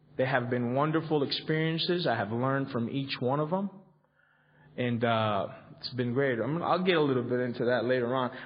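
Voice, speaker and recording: With audible room echo, a man in a Spanish accent speaks at a fairly quick pace, his medium pitch showing ordinary variation. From Colombia. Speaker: recovery convention speaker. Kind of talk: recovery workshop talk. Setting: convention hall with audience. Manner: halting, many fillers and repetitions.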